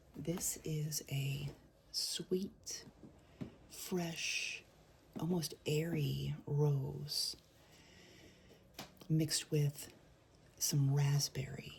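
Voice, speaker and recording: A soft-spoken woman at a very slow pace, with long, frequent pauses. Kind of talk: soft-spoken ASMR perfume review. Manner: soft-spoken, relaxing.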